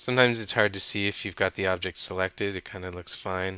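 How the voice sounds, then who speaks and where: The recording is very clean, with a silent background. A man with a very deep, low pitch and a bright, sharp tone mumbles at a fairly quick pace. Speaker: 3D modeling instructor. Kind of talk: tutorial. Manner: mumbling; casual, thinking aloud.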